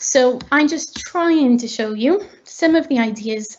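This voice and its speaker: A woman's voice with ordinary pitch variation. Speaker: teacher. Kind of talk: webinar presentation.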